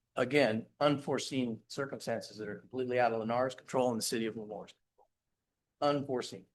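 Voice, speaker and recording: Using a normal speaking voice, a man talks at a fairly quick pace, his medium pitch showing ordinary variation. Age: 60s. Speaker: developer representative answering council and residents. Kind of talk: public meeting Q&A. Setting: city council chambers.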